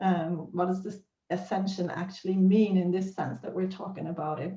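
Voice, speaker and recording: Somewhat breathy, the voice carries a dark, mellow tone and fairly even intonation. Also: woman, medium pitch for a woman, moderate pace. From Sweden. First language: Swedish. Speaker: spiritual teacher. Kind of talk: teaching monologue. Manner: hesitant with fillers.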